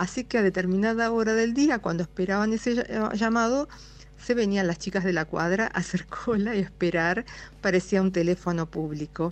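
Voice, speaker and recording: Her loudness very even, a woman speaks at medium pitch and a moderate pace in an ordinary speaking voice with ordinary pitch variation. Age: 60s. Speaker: radio listener sending a voice message. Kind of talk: recorded listener anecdote.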